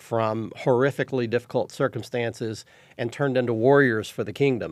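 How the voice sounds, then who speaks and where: Speaking with a Texan accent, a man keeps a medium pitch, a moderate pace and fairly even intonation on a very clean recording with a silent background. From Texas. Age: 60s. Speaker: fishing TV show host. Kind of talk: casual interview chat.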